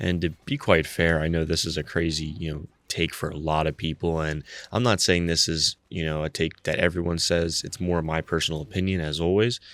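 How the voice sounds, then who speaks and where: A man speaks at a fairly quick pace. His pitch is very deep and low, and his intonation is fairly even. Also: very clean recording, silent background. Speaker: YouTube commentator on personal finance. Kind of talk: casual vlog monologue. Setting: at home early in the morning. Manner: quieter than usual, keeping voice down; filler-heavy, frequent 'you know'.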